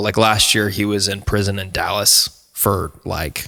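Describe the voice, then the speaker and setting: A man speaks with an American accent at a fairly low pitch. His tone is bright and sharp. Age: 20s. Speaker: singer-songwriter, podcast guest. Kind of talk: casual chat, personal story. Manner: animated.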